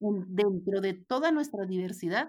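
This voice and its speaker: A woman's normal speaking voice at medium pitch and moderate pace, with lively intonation, on a very clean recording with a silent background. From Mexico, Ciudad Juárez. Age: 50s. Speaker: former federal legislator. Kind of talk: interview conversation.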